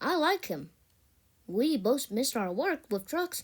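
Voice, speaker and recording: A woman in a put-on character voice speaks fairly slowly at a high pitch with very wide pitch swings, in a very clean recording with a silent background. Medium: read story.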